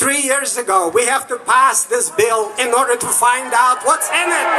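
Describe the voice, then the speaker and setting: Over music in the background, a man speaks in a raised, projected voice at an extremely high pitch, fairly slow, with lively intonation. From Soviet Union. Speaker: rally speaker, immigrant activist. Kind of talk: political rally speech.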